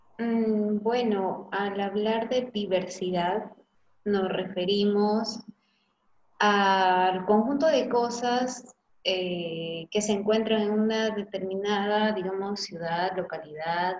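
At a very slow pace, a woman talks at a medium pitch with fairly even intonation. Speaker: teacher playing a student. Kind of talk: classroom dialogue.

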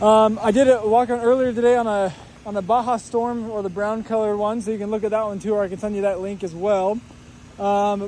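At a very fast pace, a man speaks in a high, monotone, flat voice, with a dry sound with no echo and light background noise. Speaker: car salesperson. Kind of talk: casual product walk around commentary. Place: street. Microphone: phone near.

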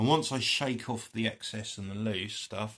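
A man talks with a fairly low pitch. His pace is moderate and his pitch variation ordinary. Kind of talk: tutorial. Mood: relaxed, chatty. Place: home room. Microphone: phone near.

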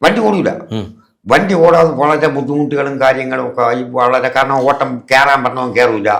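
A normal speaking voice from a man, its pitch fairly high, ordinary pitch variation throughout. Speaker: auto-rickshaw driver and devotee. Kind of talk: testimony.

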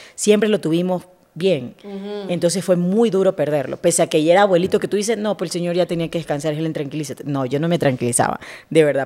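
The speech comes at a very fast pace in a dark, mellow tone with ordinary pitch variation. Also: woman. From Esmeraldas, Ecuador. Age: 30s. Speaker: TV journalist. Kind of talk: casual interview.

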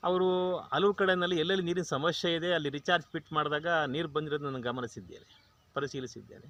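At a fairly high pitch with ordinary pitch variation, this man has an unremarkable speaking voice. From Karnataka, Mandya district (K R Pete). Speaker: retired government officer and farmer. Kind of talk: testimonial interview.

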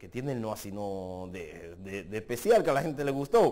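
The voice is dark and mellow and moves at a moderate pace. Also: man. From Dominican Republic. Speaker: social media personality; social media creator. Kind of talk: interview. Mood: relaxed, amused storytelling. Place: studio. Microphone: lapel.

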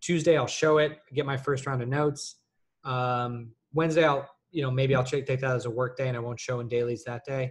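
A somewhat breathy male voice at a fairly quick pace, with monotone, flat intonation. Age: 30s. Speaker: senior lighting artist. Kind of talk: live Q&A session. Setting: live stream on video call. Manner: halting with many fillers. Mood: relaxed, conversational. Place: home room. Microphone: webcam.

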